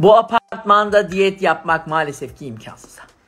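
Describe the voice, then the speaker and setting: Through light background noise, a man talks at a fairly slow pace with lively intonation. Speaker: vlogger. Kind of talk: casual vlog chat. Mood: playful, laughing. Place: home room. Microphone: phone near.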